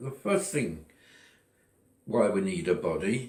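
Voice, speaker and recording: At a fairly slow pace, a man speaks with vocal fry. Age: 80s+. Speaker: retiree sharing personal philosophy. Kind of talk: personal monologue. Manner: halting.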